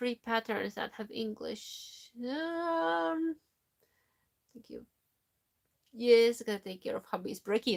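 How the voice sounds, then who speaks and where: A woman with a non-native accent speaks at a very slow pace, the sound dry and close with no echo. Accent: foreign accent in Finnish and English. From Latvia. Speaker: knitting YouTuber. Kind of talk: live stream chat reading comments. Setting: live stream from home. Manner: halting.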